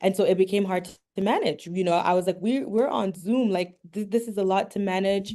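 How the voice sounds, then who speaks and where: A woman with a medium pitch and a dark, mellow tone speaks at a fairly quick pace with fairly even intonation and hardly any pauses. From Canada. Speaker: entrepreneur, language app founder. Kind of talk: interview. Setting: video call, live streamed.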